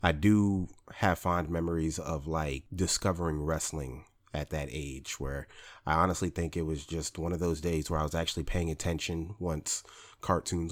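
In a very clean recording with a silent background, a man with an American accent speaks at a moderate pace in a very deep, low voice with fairly even intonation. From Northern California, Bay Area (military base). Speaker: podcaster. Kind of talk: personal storytelling monologue. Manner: casual, filler-heavy.

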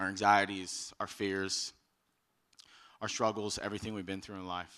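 Here is a man with an American accent and a fairly low pitch. He talks at a moderate pace on a very clean recording with a silent background. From Texas. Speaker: youth ministry leader. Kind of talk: youth sermon. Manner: casual and animated.

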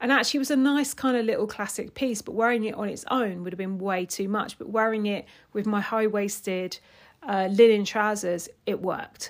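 A woman speaks in a fairly high pitch with a plain, everyday voice. Her pace is moderate and her pitch variation ordinary. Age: 50s. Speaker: personal stylist, podcast host. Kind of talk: solo podcast monologue. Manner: casual, conversational with fillers.

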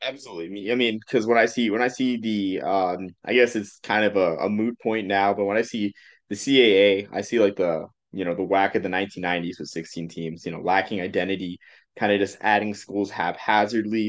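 A man's ordinary speaking voice with an American accent, fairly low pitch, fairly quick pace and fairly even intonation over a quiet background. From Massachusetts. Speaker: podcast host. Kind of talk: casual chat.

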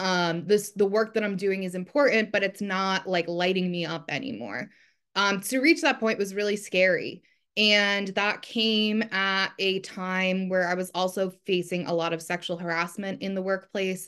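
A woman with an ordinary speaking voice, medium in pitch and fairly even in intonation, at a moderate pace over a quiet background. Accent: American. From New Jersey. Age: 30s. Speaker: journalist and copywriter. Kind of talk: interview.

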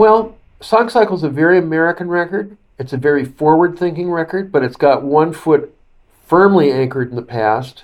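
Fairly high in pitch, a man with an unremarkable speaking voice talks at a fairly quick pace with lively intonation. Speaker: author and broadcaster. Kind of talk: interview commentary.

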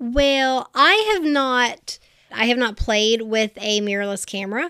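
A woman speaks with a fairly high pitch and ordinary pitch variation. Her tone is bright and sharp. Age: 20s. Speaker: photographer. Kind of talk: casual chat.

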